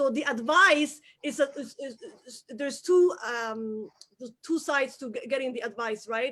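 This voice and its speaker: A woman with a Somali accent speaks at a high pitch in a bright, sharp tone. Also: ordinary pitch variation, moderate pace. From Somalia. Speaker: entrepreneur. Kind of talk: interview. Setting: live video stream. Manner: animated.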